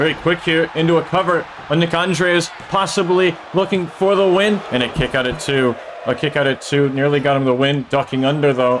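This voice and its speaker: A man talks at a fairly quick pace in a fairly high pitch, with ordinary pitch variation and very even loudness. Background noise is noticeable. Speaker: streamer commentating a video game wrestling show. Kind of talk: live commentary. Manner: animated.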